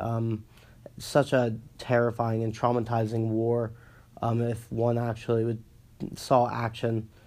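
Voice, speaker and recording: Very slow and flat in a monotone, a man speaks at a medium pitch with a dark, mellow tone. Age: 20s. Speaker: student podcaster. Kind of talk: solo monologue. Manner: halting, many fillers; casual.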